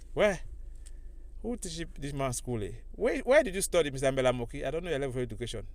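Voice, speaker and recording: A man talks very fast at a fairly high pitch with lively intonation, breaking it up with long, frequent pauses. Audible echo fills the room. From Cameroon, Anglophone region (Manyu). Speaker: political commentator. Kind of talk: political rant. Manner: animated; halting.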